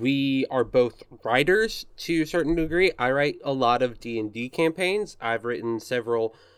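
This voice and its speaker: An ordinary speaking voice from a man with an American accent, medium pitch and a fairly slow pace. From US South, Arkansas. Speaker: podcast host. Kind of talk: casual chat.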